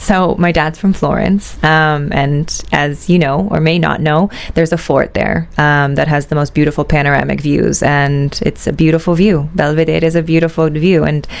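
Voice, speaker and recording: Someone with an American accent talks at a moderate pace with hardly any pauses, fairly even intonation and very even loudness. Noticeable background noise runs under the voice. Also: woman, very deep, low pitch for a woman. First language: Italian. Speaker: shoe company executive. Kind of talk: interview. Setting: studio. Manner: hesitant, many fillers.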